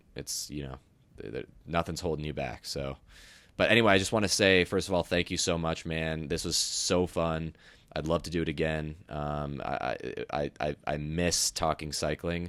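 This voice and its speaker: A man's very deep, low voice at a moderate pace with ordinary pitch variation. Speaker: podcast host guest. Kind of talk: casual chat. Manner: smooth.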